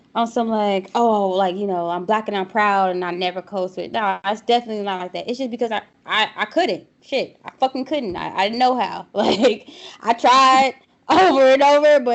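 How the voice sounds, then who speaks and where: A woman has an unremarkable speaking voice, fairly high in pitch. Her intonation is lively and her pace moderate. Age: young. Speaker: podcast co-host. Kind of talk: casual chat.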